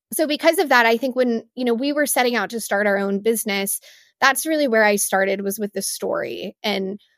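With an American accent, a woman in an ordinary speaking voice talks at a fairly quick pace and a fairly high pitch, on a very clean recording with a silent background and a dry, close sound with no echo. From West Texas (Midland). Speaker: beverage brand founder. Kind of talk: interview.

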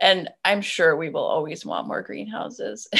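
A woman talks fairly slowly on a very clean recording, the background silent. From Maine. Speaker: flower farmer. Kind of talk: casual interview.

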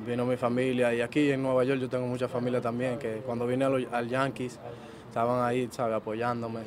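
A man at medium pitch, fairly quick, with monotone, flat intonation and very even loudness. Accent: Dominican. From Dominican Republic, Jánico near Santiago. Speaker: professional baseball player. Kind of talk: interview.

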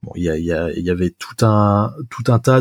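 Pitched fairly low, a man talks at a fairly slow pace with ordinary pitch variation. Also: dry, close sound with no echo. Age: 20s. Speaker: software developer. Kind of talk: casual chat. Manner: halting.

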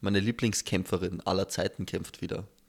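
On a very clean recording with a silent background, a man speaks at a moderate pace in a fairly low pitch with monotone, flat intonation. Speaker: podcast host. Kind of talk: casual chat.

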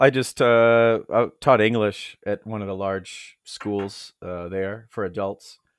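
In an unremarkable speaking voice, a man of medium pitch speaks at a fairly slow pace with an American accent, on a very clean recording with a silent background. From United States. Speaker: world traveler and apparel business founder. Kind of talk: casual interview chat.

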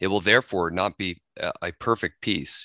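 With an American accent, a man speaks at a very deep, low pitch and a moderate pace, his tone bright and sharp with ordinary pitch variation. The sound is dry and close with no echo over a quiet background. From US Pacific Northwest, Washington. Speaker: podcast co-host. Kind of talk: casual discussion.

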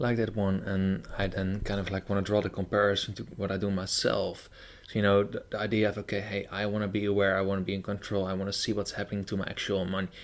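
A man with a fairly low pitch and a Dutch accent rushes at a very fast pace with hardly any pauses in a monotone, flat intonation. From Netherlands. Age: 20s. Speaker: podcast host. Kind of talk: interview.

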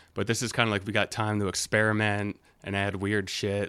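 A man with an American accent speaks in a fairly low pitch and a monotone, flat intonation at a moderate pace, in a very clean recording with a silent background. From Delaware, US. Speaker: musician. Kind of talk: casual chat.

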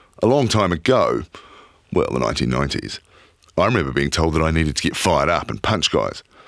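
A man with a New Zealand accent, at a fairly quick pace. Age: 40s. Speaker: podcast host. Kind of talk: documentary narration.

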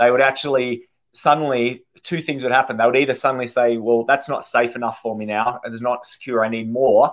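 A man talks with an Australian accent at a fairly quick pace. His medium-pitched voice stays monotone and flat. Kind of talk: casual interview chat.

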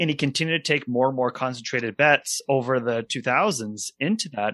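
A man with an American accent and medium pitch speaks with ordinary pitch variation in a dry, close sound with no echo and a very clean recording with a silent background. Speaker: financial advisor and podcast host. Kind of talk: podcast interview. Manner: halting, many repetitions and fillers.

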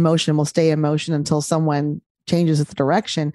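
The woman's tone is dark and mellow, at a moderate pace. The sound is dry and close with no echo. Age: 50s. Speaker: gynecologist and podcaster. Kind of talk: interview conversation.

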